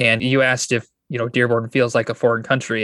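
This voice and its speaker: Speaking with an American accent, a man with an unremarkable speaking voice and medium pitch talks at a fairly quick pace, recorded dry and close with no echo over a quiet background. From Michigan, US. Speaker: pastor and church planter. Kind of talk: interview.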